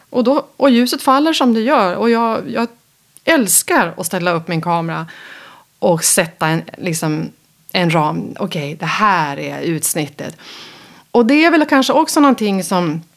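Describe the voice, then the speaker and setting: A woman at a medium pitch talks at a moderate pace. Her pitch swings very widely, and vocal fry comes through. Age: 50s. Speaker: interior photographer. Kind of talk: interview. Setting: host's kitchen.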